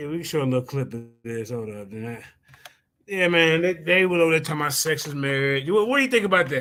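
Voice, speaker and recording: A man's very fast, lively delivery, fairly high in pitch, with big swings in loudness and a slight Southern US accent. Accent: slight Southern country. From US Midwest. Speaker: religious debater and live-stream host. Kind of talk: casual live-stream chat.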